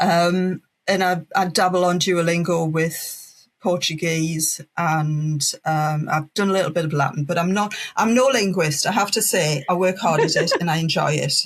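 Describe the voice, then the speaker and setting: Speaking in a northeast English accent, a woman with a somewhat breathy, fairly low voice keeps a moderate pace, hardly any pauses, very even loudness and ordinary pitch variation. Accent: northeast English (Geordie), noticeable. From northeast England, Wallsend (Tyneside). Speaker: language teacher and business founder. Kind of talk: podcast interview.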